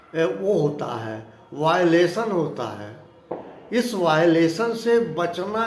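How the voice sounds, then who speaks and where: A man speaks with a fairly high pitch and lively intonation. Noticeable background noise and audible room echo are present. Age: 60s. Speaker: spiritual talk vlogger. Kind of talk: moral discourse monologue.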